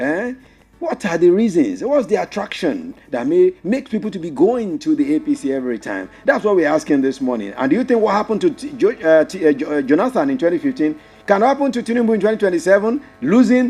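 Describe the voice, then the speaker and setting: Music plays behind a man with a Nigerian accent who talks very fast at a high pitch with very wide pitch swings. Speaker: radio host. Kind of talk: radio phone-in talk show.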